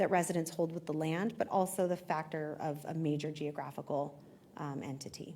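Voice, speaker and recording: A dark, mellow tone at a fairly quick pace. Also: woman. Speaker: history professor. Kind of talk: public lecture. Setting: live talk with audience. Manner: fast.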